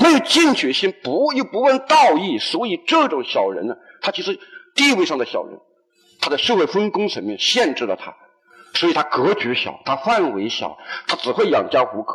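Moving at a moderate pace, a man talks in a high pitch with very wide pitch swings. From Hunan, China. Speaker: university lecturer. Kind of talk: public lecture. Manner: halting with fillers.

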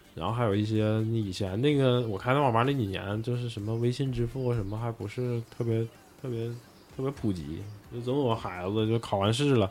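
A man talks fairly quickly with noticeable background noise around him. His voice sits at a medium pitch and varies in an ordinary way. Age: 40s. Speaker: bar owner. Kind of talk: casual chat.

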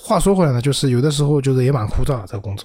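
There is noticeable background noise. A man speaks over it at a very fast pace. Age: 40s. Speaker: PR professional. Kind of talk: casual chat.

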